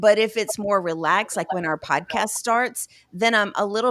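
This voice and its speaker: A woman speaks with lively intonation at a moderate pace on a very clean recording with a silent background. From US South. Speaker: podcast co-host. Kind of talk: casual chat.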